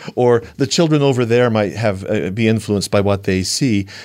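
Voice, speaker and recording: An ordinary speaking voice from a man, fairly quick in pace, mid-range in pitch, with ordinary rises and falls. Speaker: panel respondent. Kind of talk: panel discussion response.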